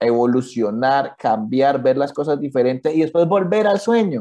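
Over a quiet background, a man speaks with a dark, mellow tone. His intonation is lively and his pace moderate. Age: 30s. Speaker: cartoonist. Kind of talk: interview.

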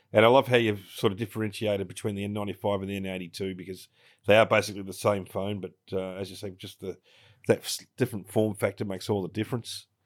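A man with an Australian accent, fairly low-pitched and fairly quick, monotone and flat in intonation, with big swings in loudness, on a very clean recording with a silent background. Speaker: podcast co-host. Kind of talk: casual interview chat.

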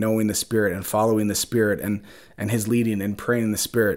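A man with an Upper Midwest accent, very fast pace, fairly low pitch and monotone, flat intonation, on a very clean recording with a silent background. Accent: Upper Midwest American. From Minnesota, Twin Cities suburbs. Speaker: podcast host. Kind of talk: solo monologue, reflective and faith-based. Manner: hesitant, many fillers.

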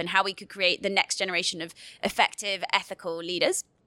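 A woman speaks very fast in a British accent. Her tone is bright and sharp. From United Kingdom. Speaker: youth climate organisation leader. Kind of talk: panel interview. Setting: studio.

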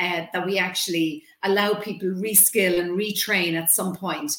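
A woman with an Irish accent, medium in pitch, at a moderate pace, her intonation fairly even, over noticeable background noise. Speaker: communications trainer and consultant. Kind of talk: interview.

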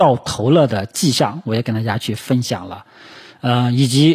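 Delivery comes at a moderate pace. There is a somewhat breathy quality to the voice. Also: man. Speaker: stock market commentator. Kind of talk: market analysis monologue. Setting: solo recording for video and podcast. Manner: frequent filler particles and hesitations.

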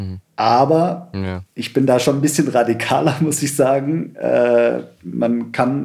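A man talks at a very slow pace. His tone is dark and mellow. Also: medium pitch for a man, ordinary pitch variation. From Stuttgart area, Germany (born in Sri Lanka, moved at four). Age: 30s. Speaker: environmental activist, founder of a cleanup network. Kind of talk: podcast interview.

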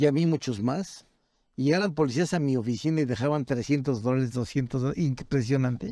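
A man speaks at medium pitch in a dark, mellow tone, keeping a moderate pace. His loudness is very even, and the recording is very clean with a silent background. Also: ordinary pitch variation. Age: 60s. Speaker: criminal defense lawyer. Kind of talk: casual interview.

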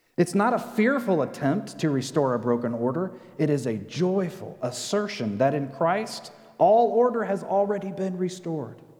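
Against noticeable background noise, a man speaks at a moderate pace in a high pitch with very wide pitch swings. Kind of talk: sermon. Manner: earnest, rallying call-and-response cadence.

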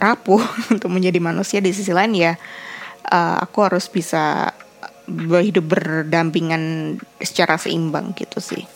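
With noticeable background noise, a woman speaks at a moderate pace and fairly low pitch, using fairly even intonation and long, frequent pauses. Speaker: podcaster and content creator. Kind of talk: solo casual vlog-style podcast. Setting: bedroom.

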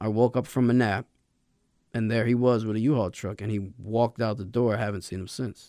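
In an ordinary speaking voice, a man talks at a medium pitch and a fairly quick pace with fairly even intonation, in a very clean recording with a silent background. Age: 30s. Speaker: podcast host sharing recovery story. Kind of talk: interview testimony.

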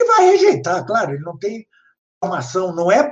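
With lively intonation, a man speaks. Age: 60s. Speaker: professor and author on art. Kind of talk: lecture. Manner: halting, many fillers.

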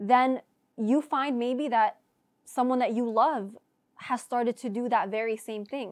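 With an American accent, a woman speaks at a high pitch with fairly even intonation. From US South (Florida). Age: 20s. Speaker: podcast co-host, nursing graduate. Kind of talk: casual chat.

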